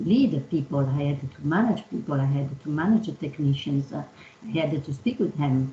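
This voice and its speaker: A woman talks with an Italian accent. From Italy. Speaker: engineering executive. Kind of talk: panel discussion. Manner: halting, many fillers.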